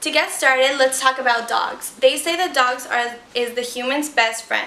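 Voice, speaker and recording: A woman speaks at a high pitch with ordinary pitch variation. There is audible room echo and noticeable background noise. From Ecuador. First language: Spanish. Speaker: student. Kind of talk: persuasive speech.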